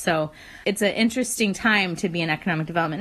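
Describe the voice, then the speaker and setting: A woman's plain, everyday voice, fairly low in pitch, with ordinary pitch variation. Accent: American. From West Virginia. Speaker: economic development consultant. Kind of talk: casual chat.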